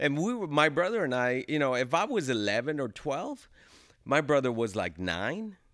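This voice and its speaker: Over a very clean recording with a silent background, a man speaks at a moderate pace in a fairly high voice with very wide pitch swings. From Los Angeles (Pico-Union), born in El Salvador. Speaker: actor and realtor. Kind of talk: casual interview chat.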